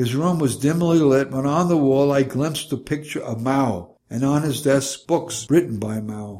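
A fairly high-pitched man with ordinary pitch variation and hardly any pauses. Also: moderate pace. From New York City. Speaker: memoir narrator, retired minister. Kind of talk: reading aloud from a memoir, scripted narration.

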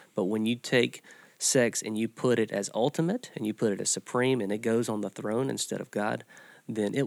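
The recording is very clean with a silent background and a dry, close sound with no echo. A man with an ordinary speaking voice talks at a moderate pace, in a medium pitch with ordinary pitch variation. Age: 40s. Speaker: church podcast host, pastor. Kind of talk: casual discussion. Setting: studio.

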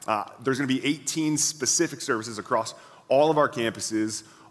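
The clip has an ordinary speaking voice with ordinary pitch variation. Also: man. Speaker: pastor. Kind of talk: church announcements. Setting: church with audience.

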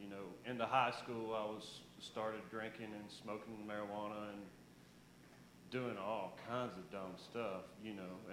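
Audible room echo surrounds a man speaking fairly low and fairly slowly, his intonation monotone and flat. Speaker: church member giving testimony. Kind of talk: testimony. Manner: halting.

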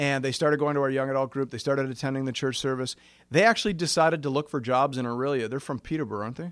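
Very fast speech comes from a man at a medium pitch with ordinary pitch variation. The recording is very clean, with a silent background. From Canada, Ontario. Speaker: pastor. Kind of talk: conference workshop talk.

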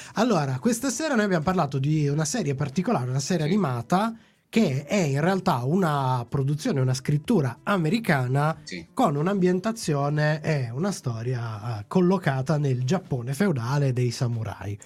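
A man with a fairly high pitch speaks at a moderate pace, somewhat breathy, with very wide pitch swings. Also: very clean recording, silent background. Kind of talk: casual chat.

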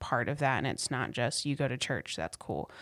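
A woman speaks with a very deep, low pitch and vocal fry. The recording is very clean, with a silent background. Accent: American. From US South, North Carolina (Raleigh area). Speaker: church worker. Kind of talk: casual interview.

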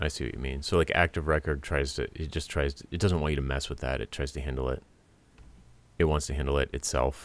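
Vocal fry runs through a man's very deep, low voice as he talks at a very fast pace with fairly even intonation. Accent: American. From US Northeast, Rhode Island. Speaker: podcast host, web developer. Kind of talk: casual tech chat. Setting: Skype call.

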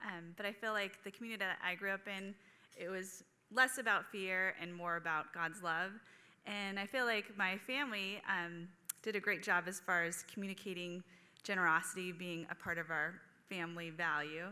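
A woman with an American accent speaks at a moderate pace in a bright, sharp tone, her intonation fairly even. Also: medium pitch for a woman. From California. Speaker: counselor. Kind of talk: testimony.

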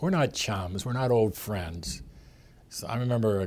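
Recorded very cleanly against a silent background, a man with a Pittsburgh accent talks at a moderate pace in a fairly low pitch with ordinary pitch variation. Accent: Western Pennsylvania (Pittsburgh). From Pittsburgh, Pennsylvania. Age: 70s. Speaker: sportswriter and author. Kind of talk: interview. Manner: halting.

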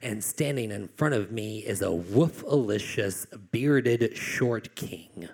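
A man with an American accent speaks at a very slow pace. His pitch sits in the medium range. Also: ordinary pitch variation. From Virginia (Glade Spring, Appalachia). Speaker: poet. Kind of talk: live storytelling performance. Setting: stage with audience.

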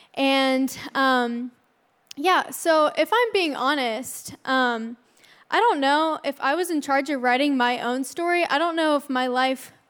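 On a very clean recording with a silent background, a woman speaks at a high pitch and a fairly slow pace with ordinary pitch variation. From Arizona, US. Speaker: student ministry intern. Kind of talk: sermon.

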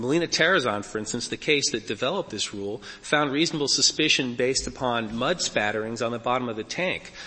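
A man speaks at a very fast pace with hardly any pauses, his pitch medium with ordinary variation. Noticeable background noise runs underneath. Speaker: defense lawyer arguing a case. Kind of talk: oral argument before a court. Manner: formal.

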